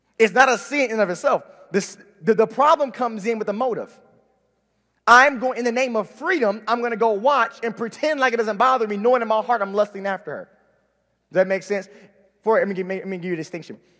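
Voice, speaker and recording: A raised, projected voice with a bright, sharp tone rushes at a very fast pace, broken by long, frequent pauses, with ordinary pitch variation. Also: man, high pitch for a man. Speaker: Bible teacher. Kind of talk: sermon.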